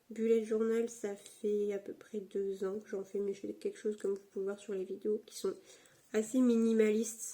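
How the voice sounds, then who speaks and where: A woman talks at a moderate pace in a fairly high-pitched voice. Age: 20s. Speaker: YouTuber, student. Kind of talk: casual chat. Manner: hesitant, many fillers.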